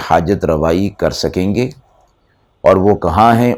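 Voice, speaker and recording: This man has a normal speaking voice, fairly low in pitch with ordinary pitch variation. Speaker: Islamic scholar giving Quran lecture. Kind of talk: Quran exegesis lecture (tafseer) to an audience.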